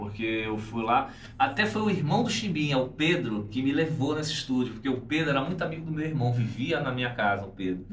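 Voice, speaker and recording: Talking at a fairly quick pace with hardly any pauses, a man uses lively intonation at a medium pitch, with audible room echo and noticeable background noise. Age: 40s. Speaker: bass player. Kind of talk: casual interview chat.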